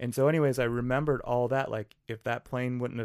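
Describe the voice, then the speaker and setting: Recorded very cleanly against a silent background, a man with an Upper Midwest accent speaks at medium pitch in a monotone, flat way. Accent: Upper Midwest American. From western Wisconsin. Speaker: small business founder. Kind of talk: podcast interview.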